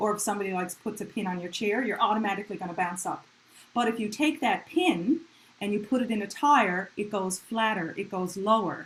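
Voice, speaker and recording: This woman's voice is medium in pitch and somewhat breathy. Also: ordinary pitch variation. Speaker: music teacher. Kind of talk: online community music lesson.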